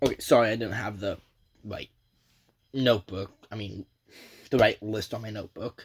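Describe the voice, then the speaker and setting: A man's fairly low voice is somewhat breathy and moves at a moderate pace. His loudness swings widely, and he leaves long, frequent pauses. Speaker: YouTuber, gaming commentator. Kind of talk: casual vlog talk. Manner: halting, many fillers; energetic.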